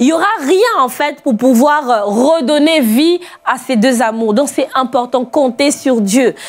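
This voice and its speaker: A woman talks at a very slow pace, her loudness very even. Her pitch is high, with ordinary variation. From outside France. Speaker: pastor. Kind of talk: sermon. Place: studio. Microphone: lapel.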